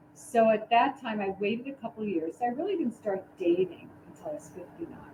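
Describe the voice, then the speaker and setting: A woman with a fairly high pitch and an American accent, at a fairly quick pace, with very wide pitch swings and big swings in loudness. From New York City (the Bronx). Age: 60s. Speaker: dating coach and wedding officiant. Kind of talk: casual chat.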